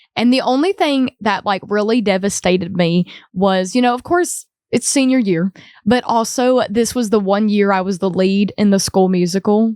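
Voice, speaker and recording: A woman speaks at a moderate pace with an Appalachian accent, her pitch medium and her pitch variation ordinary. Her loudness stays very even, and the very clean recording has a silent background and a dry, close sound with no echo. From Appalachia, southwest Virginia. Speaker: singer-songwriter. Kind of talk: casual interview chat. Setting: studio.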